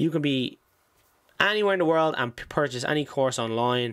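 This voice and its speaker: A man with a fairly high pitch talks in an Irish accent. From Ireland. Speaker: stock trading YouTuber. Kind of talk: tutorial. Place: home room. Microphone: studio mic.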